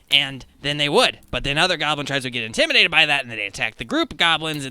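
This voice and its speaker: The speaker uses a put-on character voice. The delivery comes at a very fast pace. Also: man, fairly high pitch for a man. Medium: actual play. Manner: rambling, excitable.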